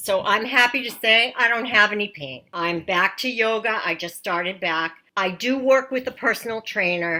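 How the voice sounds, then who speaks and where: A woman with an American accent, fairly high pitch, a bright, sharp tone and lively intonation at a moderate pace, in a very clean recording with a silent background. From Massachusetts. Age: 60s. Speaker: patient. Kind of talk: testimony.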